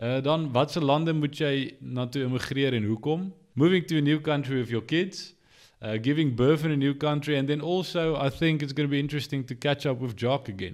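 With a South African accent, a man speaks fairly quickly at a fairly high pitch, his pitch variation ordinary, in a very clean recording with a silent background. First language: Afrikaans. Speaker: podcast co-host. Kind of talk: casual chat. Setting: studio.

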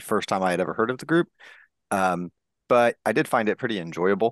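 A man's dry, close voice with no echo, over a quiet background. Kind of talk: casual chat.

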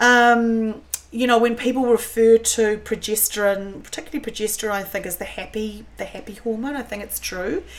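A woman with a New Zealand accent, fairly high in pitch, at a moderate pace with hardly any pauses, fairly even intonation and big swings in loudness. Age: 50s. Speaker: cook and food writer. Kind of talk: casual chat. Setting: at her beach house.

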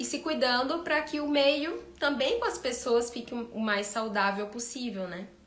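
Noticeable background noise and audible room echo fill the recording. The pace is fairly slow, with ordinary pitch variation. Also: woman. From Ceará, Brazil. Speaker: veterinarian. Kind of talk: live-stream talk with Q&A.

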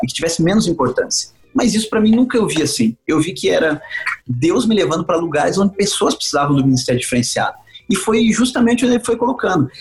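A man at a very fast pace, high-pitched, with very wide pitch swings and music in the background. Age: 40s. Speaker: evangelist pastor. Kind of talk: casual interview.

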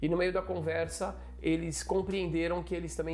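A man talks at a fairly quick pace with music in the background and audible room echo. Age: 40s. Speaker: rabbi. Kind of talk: interview.

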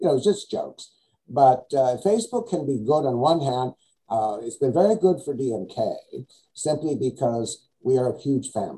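With a dark, mellow tone and a somewhat breathy sound, a man talks at a moderate pace using lively intonation. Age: 70s. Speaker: skincare scientist and educator. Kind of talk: interview. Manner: playful, joking.

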